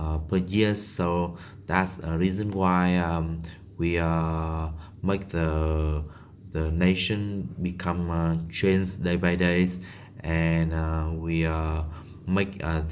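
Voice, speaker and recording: Through audible room echo, a man with a Vietnamese accent speaks at a very slow pace in a very deep, low pitch with fairly even intonation. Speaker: English learner. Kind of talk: monologue practice. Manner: halting, many fillers.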